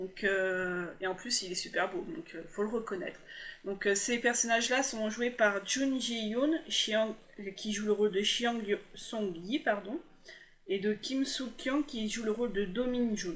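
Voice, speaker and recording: Pitch moves in an ordinary way. The delivery is very slow. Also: woman, fairly high pitch for a woman. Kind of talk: voice-over review of TV dramas. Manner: hesitant, stumbling.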